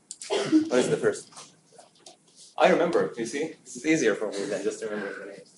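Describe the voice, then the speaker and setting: A man with a non-native accent talks at a fairly quick pace, with big swings in loudness. He makes long, frequent pauses. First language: not English. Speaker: teacher. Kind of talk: classroom lecture. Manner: conversational, hesitant with fillers.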